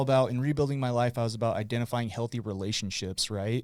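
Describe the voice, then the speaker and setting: Speaking with an American accent, a man uses a medium pitch with ordinary pitch variation. The recording is very clean, with a silent background. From Utah, West Point. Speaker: guest, addiction recovery helper. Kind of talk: casual chat. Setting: studio. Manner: loud; animated.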